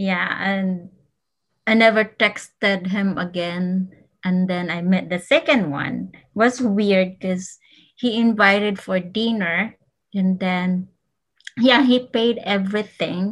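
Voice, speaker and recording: Over a quiet background, a woman speaks very slowly in a medium pitch, somewhat breathy, with ordinary pitch variation. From Philippines, Cagayan de Oro. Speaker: podcast guest. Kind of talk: casual chat.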